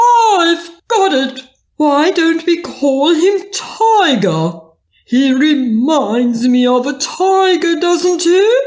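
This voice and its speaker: The speaker uses a put-on character voice at an extremely high pitch. The delivery is very slow. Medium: read story.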